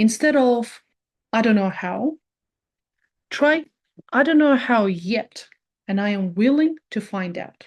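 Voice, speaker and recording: With a non-native accent, a woman speaks very slowly, leaving long, frequent pauses. Her fairly high voice has lively intonation. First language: not English. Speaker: personal growth video creator. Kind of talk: reflective monologue.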